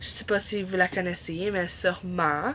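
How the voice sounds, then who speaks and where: A woman with a Quebec accent speaks at a fairly slow pace. Her pitch varies in an ordinary way. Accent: Québécois French. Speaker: book vlogger. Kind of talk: casual vlog.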